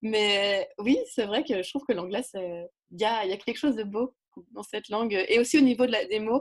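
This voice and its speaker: In a quiet setting, a woman with a fairly high pitch and ordinary pitch variation speaks at a moderate pace. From French-speaking region. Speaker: writer and community builder. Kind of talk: interview. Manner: animated.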